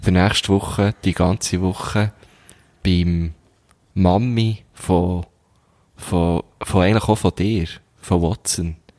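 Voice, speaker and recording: A man talks with a very deep, low pitch and fairly even intonation. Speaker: podcast co-host. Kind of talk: casual chat.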